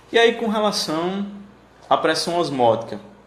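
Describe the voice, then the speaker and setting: Lively in intonation, a man talks at a high pitch and a fairly slow pace. Room echo is audible. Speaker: teacher. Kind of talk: lecture. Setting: live stream.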